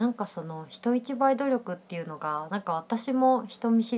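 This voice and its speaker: With an unremarkable speaking voice, a woman talks at a medium pitch and moderate pace with lively intonation. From Osaka, Japan. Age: 20s. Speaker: freelance IT engineer and podcast co-host. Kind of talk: casual chat.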